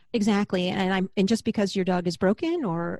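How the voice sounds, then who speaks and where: A woman's monotone, flat delivery in a dry, close sound with no echo. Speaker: podcast host, former vet tech, author. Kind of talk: casual chat.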